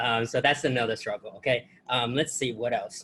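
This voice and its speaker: A man is speaking. His pace is moderate. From outside the US. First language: not English. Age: 20s. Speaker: student testimonial giver. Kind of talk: testimony. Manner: halting.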